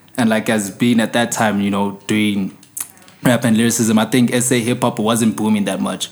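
With noticeable background noise, a man speaks at a moderate pace and medium pitch in a monotone, flat intonation. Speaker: podcast host. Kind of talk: casual interview. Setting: studio.

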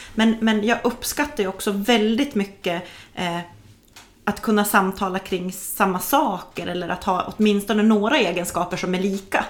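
With an ordinary speaking voice, a woman keeps a medium pitch and moderate speed, her pitch varying in an ordinary way. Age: 40s. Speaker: podcast host. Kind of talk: interview. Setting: at a kitchen table in the guest's home.

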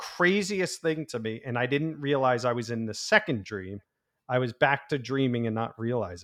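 A normal speaking voice delivered at a moderate pace. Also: man, medium pitch for a man, big swings in loudness. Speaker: podcast co-host. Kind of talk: casual chat.

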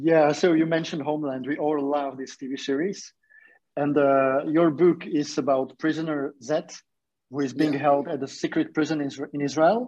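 This man has an ordinary speaking voice, fairly high in pitch. He keeps a moderate pace and fairly even intonation. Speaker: book interviewer. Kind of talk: interview. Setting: video call.

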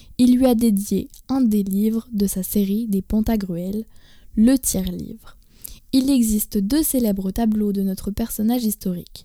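A woman speaks at a fairly slow pace and a fairly high pitch, her dark, mellow tone somewhat breathy and her intonation fairly even. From France. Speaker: stand-in podcast host. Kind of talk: scripted narration.

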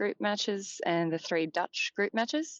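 With an Australian accent, a woman is talking. She keeps to a moderate pace. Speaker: football journalist. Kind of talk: casual interview. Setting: phone call.

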